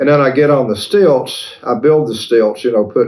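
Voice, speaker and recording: This is a man's voice. He speaks fairly quickly with ordinary pitch variation. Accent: Appalachian Tennessee. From East Tennessee (Cleveland). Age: 70s. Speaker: folk character creator. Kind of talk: interview. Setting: at his home.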